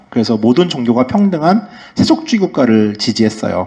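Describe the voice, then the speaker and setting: A man speaks very fast in a dark, mellow tone, his pitch swinging very widely. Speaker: travel writer giving a lecture. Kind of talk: lecture.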